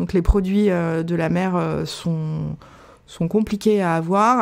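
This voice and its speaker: A woman's ordinary speaking voice, fairly low in pitch, with fairly even intonation. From Paris. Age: 40s. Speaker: restaurant owner. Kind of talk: interview.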